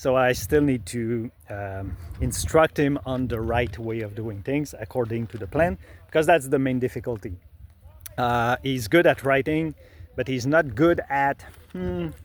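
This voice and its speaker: A man with a Quebec accent speaks at a fairly slow pace in a medium pitch, his intonation lively. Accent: Québécois French accent in English. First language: French. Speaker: illustrator and author. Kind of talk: tutorial. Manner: halting, many fillers.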